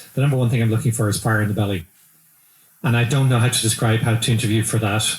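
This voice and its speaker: A man with an Irish accent, somewhat breathy and medium in pitch, very fast, with very even loudness and fairly even intonation. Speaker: business executive. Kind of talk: interview. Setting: live event.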